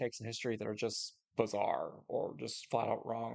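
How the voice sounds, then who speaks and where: A man does the talking. He keeps to a moderate pace. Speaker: history youtuber and artist. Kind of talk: response video commentary. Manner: halting, many filler words; occasionally slurred words.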